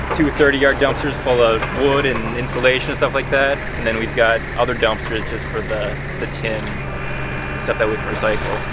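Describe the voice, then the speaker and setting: Loud background noise under a man's dry voice with no echo. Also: moderate pace. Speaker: demolition contractor. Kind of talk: interview answer. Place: open country.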